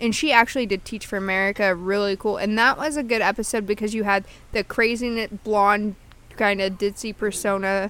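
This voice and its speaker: In a normal speaking voice, a woman talks fairly quickly at a medium pitch with fairly even intonation. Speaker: podcast co-host. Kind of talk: casual chat. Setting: outdoors in backyard.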